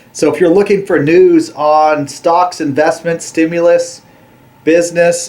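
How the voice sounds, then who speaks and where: A man's high-pitched voice at a very slow pace, over noticeable background noise. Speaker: small business news vlogger. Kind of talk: news update monologue.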